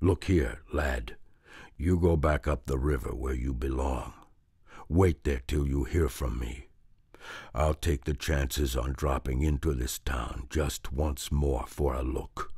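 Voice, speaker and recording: Putting on a character voice, a man speaks in a raspy, very deep, low register at a fairly slow pace with fairly even intonation. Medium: read story. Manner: gruff, scornful.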